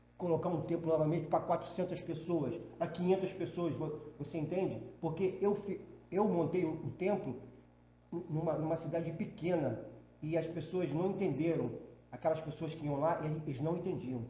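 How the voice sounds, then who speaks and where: A man with a high pitch and fairly even intonation speaks at a moderate pace amid audible room echo and noticeable background noise. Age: 60s. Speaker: spiritual medium. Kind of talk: podcast interview. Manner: halting, with many false starts.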